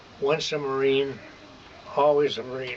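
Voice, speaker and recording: A man with a Midwestern American accent talks very slowly at a fairly high pitch, with noticeable background noise. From Michigan. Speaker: war veteran. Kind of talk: oral history interview answer.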